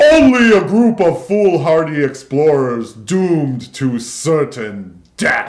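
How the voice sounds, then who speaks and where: A loud, booming put-on character voice moves at a fairly slow pace with very wide pitch swings. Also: man, fairly high pitch for a man. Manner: mocking, doom-laden.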